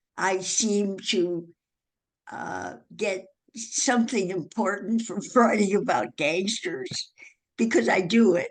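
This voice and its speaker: Very slow and marked by vocal fry, a woman's medium-pitched voice carries lively intonation. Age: 80s+. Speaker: author. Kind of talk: interview answer.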